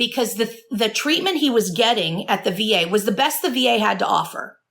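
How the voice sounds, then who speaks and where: At a moderate pace, a woman speaks with vocal fry. Her pitch variation is ordinary. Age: 40s. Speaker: addiction recovery therapist and author. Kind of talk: interview conversation. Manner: stutters when emotional; earnest.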